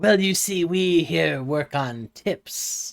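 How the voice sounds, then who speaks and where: In a put-on character voice at middle pitch, the words come at a very slow pace. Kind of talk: salesman patter. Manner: sleazy, overly reassuring.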